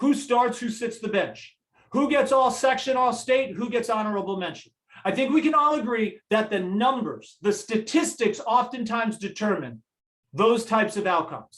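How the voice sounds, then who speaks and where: Ordinary pitch variation and an energetic tone. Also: man, extremely high pitch for a man. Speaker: motivational speaker, former college athlete. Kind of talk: public talk with slides. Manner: fast.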